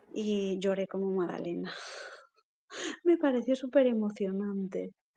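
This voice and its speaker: A woman at a medium pitch talks fairly slowly, her pitch varying in an ordinary way. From Galicia, Spain (Lugo). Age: 40s. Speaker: poet and writer. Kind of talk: interview.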